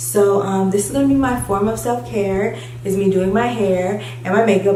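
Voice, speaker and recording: With noticeable background noise and audible room echo, a woman speaks at a medium pitch with lively intonation. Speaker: beauty vlogger. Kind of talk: casual vlog tutorial. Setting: empty beauty room. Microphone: echo, mic not set up.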